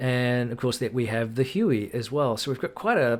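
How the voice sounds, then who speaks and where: A man with a New Zealand accent talks at a fairly quick pace in a medium-pitched voice. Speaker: gaming YouTuber. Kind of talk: casual commentary video update. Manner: hesitant, many fillers.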